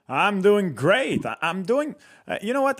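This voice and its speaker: A man with a Quebec French accent speaks at a fairly slow pace in a very clean recording with a silent background. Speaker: hockey commentator. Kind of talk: casual hockey talk show.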